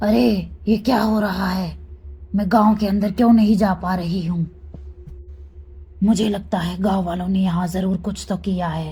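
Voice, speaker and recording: A female-sounding, cartoonish character voice at medium pitch takes on a menacing tone, moving at a moderate pace with long, frequent pauses over light background noise. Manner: menacing, taunting.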